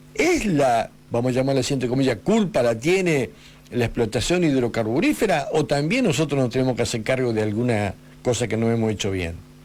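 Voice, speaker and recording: A medium-pitched man talks at a fairly quick pace with lively intonation. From Argentina, Patagonia (Río Negro) from age eight, born in Buenos Aires. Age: 50s. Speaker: radio host. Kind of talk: radio interview. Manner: halting, with fillers and restarts.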